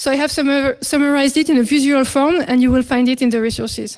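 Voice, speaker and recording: A woman's high voice in a French accent at a very fast pace. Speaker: security researcher. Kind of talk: conference talk. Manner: hesitant, many fillers.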